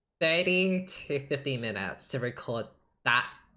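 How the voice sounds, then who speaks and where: A woman's very deep, low voice with a bright, sharp tone and ordinary pitch variation, on a very clean recording with a silent background. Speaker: gaming streamer. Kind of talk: casual chat. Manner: stutters often; halting.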